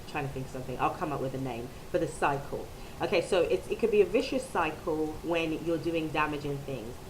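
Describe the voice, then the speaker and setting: Amid audible room echo, a woman with a very deep, low voice talks at a fairly quick pace with lively intonation. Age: 30s. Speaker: video blogger. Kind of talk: personal vlog testimony. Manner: hesitant, many ums.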